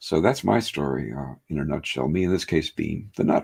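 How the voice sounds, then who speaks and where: A man speaks at a moderate pace. His voice carries vocal fry. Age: 70s. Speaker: hypnotherapist. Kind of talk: interview. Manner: halting, many fillers.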